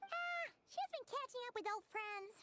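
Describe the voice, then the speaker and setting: It is a put-on character voice, squeaky and extremely high in pitch. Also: moderate pace. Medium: video game.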